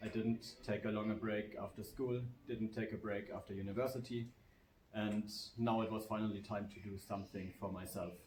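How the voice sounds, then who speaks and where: Audible room echo around a man's fairly low, somewhat breathy voice with monotone, flat intonation. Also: moderate pace. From Germany. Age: 30s. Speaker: teacher, kung fu student. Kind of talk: casual interview. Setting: at a kung fu temple in China.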